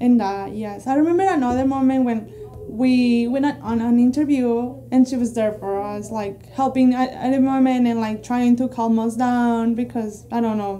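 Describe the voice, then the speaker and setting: A speaker with a Spanish accent talks at a moderate pace with fairly even intonation and hardly any pauses, over noticeable background noise. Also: woman, high pitch for a woman. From Mexico. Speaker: immigrant, immigration client. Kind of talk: testimonial interview. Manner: halting.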